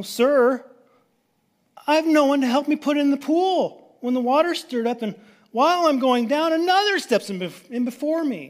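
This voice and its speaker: A man puts on a whiny character voice pitched extremely high. He talks at a moderate pace. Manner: whining, complaining.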